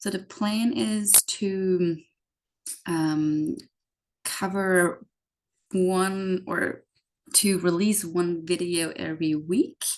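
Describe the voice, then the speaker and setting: A very slow pace with long, frequent pauses and ordinary pitch variation. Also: woman, medium pitch for a woman. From Austria. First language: German. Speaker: YouTuber explaining US systems to immigrants. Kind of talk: informal explainer video. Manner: frequent filler words (um, like).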